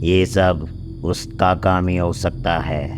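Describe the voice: Someone talks in a cartoonish character voice at a fairly slow pace, with loud background noise behind it. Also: man, very deep, low pitch for a man.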